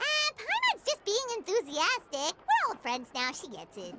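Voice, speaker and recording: A female-sounding voice does a squeaky put-on character voice. It sits at an extremely high pitch with very wide pitch swings. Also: moderate pace. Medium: video game. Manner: enthusiastic, chirpy.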